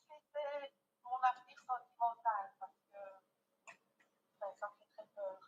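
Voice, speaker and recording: Pitch shifts in an ordinary way as the words come out very slowly. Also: woman. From Belgium, Liège. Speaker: caller. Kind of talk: phone-in question.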